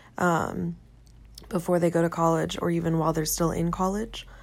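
A woman at a moderate pace. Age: 20s. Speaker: podcast host, college student. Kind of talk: solo podcast monologue. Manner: halting, many fillers.

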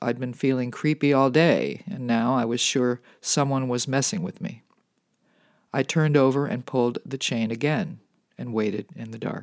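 A man speaks at a medium pitch and moderate pace with ordinary pitch variation, in an unremarkable speaking voice. The recording is very clean with a silent background, and the sound is dry and close with no echo. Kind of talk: bedtime ghost story, reading aloud a first-person true tale. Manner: calm, intimate, building creepy tension.

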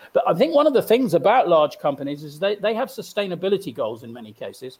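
This is a very clean recording with a silent background. The speaker, a man, has lively intonation. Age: old. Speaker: entrepreneur, co-host. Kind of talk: casual interview. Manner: halting, repeats words.

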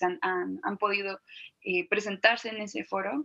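A woman speaks at medium pitch and a moderate pace, with ordinary pitch variation. Her tone is bright and sharp, and the sound is dry and close with no echo. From Guadalajara, Mexico. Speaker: musician. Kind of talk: interview.

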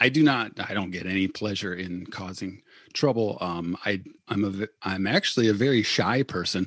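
A man speaks at a moderate pace with an Upper Midwest accent. His pitch is fairly low, and the background is quiet. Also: ordinary pitch variation. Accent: Upper Midwest American. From Michigan, Battle Creek. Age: 40s. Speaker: church deacon, lay activist. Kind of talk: casual interview conversation. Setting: remote call from home.

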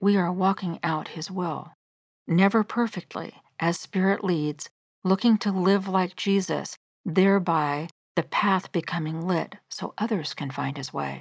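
A woman with a plain, everyday voice, medium pitch, ordinary pitch variation and a fairly slow pace, in a very clean recording with a silent background. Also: dry, close sound with no echo. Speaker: devotional podcast host. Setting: solo studio recording. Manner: earnest, gentle, fervent; measured, sincere.

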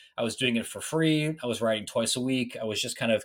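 Very fast speech from a man with a Midwestern US accent, on a very clean recording with a silent background. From Ohio, Licking County near Columbus. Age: 30s. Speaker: college sports writer. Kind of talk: podcast interview.

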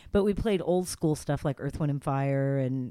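With an American accent, a woman speaks at a very deep, low pitch in a dark, mellow tone on a very clean recording with a silent background. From Los Angeles, California. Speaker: radio host. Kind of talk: casual interview chat. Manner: friendly, conversational.

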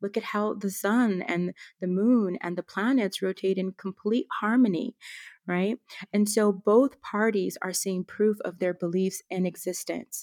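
On a very clean recording with a silent background and a dry, close sound with no echo, a woman speaks in a plain, everyday voice at a medium pitch and a fairly slow pace. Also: fairly even intonation. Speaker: wellness entrepreneur and educator. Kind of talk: interview conversation.

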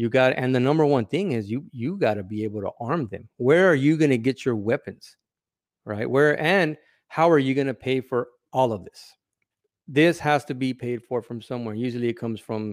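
A normal speaking voice with an American accent moves at a moderate pace with ordinary pitch variation. The recording is very clean, with a silent background and a dry, close sound free of echo. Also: man. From California. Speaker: former correctional officer. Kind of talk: casual interview.

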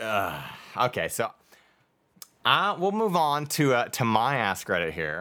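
On a very clean recording with a silent background, a man speaks with an American accent in a bright, sharp tone at a medium pitch. His pitch swings very widely, and he talks fairly slowly with long, frequent pauses. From New York. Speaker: podcast host. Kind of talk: casual chat.

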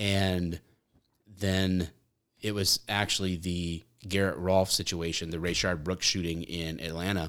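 With an American accent, a man speaks at a fairly slow pace in a very deep, low pitch and monotone, flat intonation. The recording is very clean, with a silent background. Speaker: police officer and content creator. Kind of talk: casual chat.

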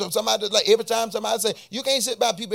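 Music plays in the background as a man talks at a very fast pace. His tone is animated and his pitch high. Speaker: preacher. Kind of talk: sermon. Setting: church with congregation. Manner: animated, call-and-response, pulpit-style preaching with rising intensity; exhorting the congregation with rhetorical questions and repetition.

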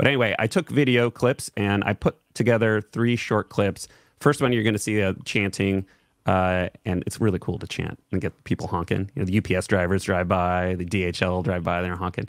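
The sound is dry and close with no echo as a man speaks at a fairly quick pace, fairly low in pitch, with ordinary pitch variation. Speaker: livestream co-host. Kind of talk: casual chat. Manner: animated.

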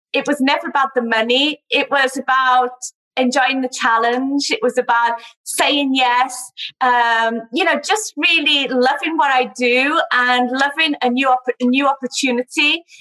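A woman speaks in a raised, projected voice with a bright, sharp tone and high pitch, keeping her loudness very even. Her pace is fairly slow, her intonation fairly even, and the sound is dry and close with no echo. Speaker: travel company founder. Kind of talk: interview.

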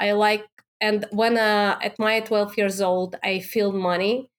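In a Russian accent, a woman speaks at a very slow pace. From Russia, Moscow. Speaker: Amazon seller and coach. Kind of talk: interview. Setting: remote call.

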